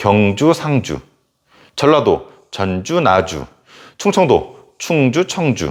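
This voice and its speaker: A man speaking at a very slow pace with long, frequent pauses, on a very clean recording with a silent background. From South Korea, born Gyeongsang, lived long in Incheon. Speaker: history teacher. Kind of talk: lecture. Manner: casual, conversational.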